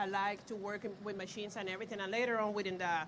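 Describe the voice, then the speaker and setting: With a Puerto Rican accent, a woman speaks in a bright, sharp tone with fairly even intonation and audible room echo. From Puerto Rico. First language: Spanish. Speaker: pharmaceutical equipment validation lead. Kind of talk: panel discussion. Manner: hesitant, many fillers.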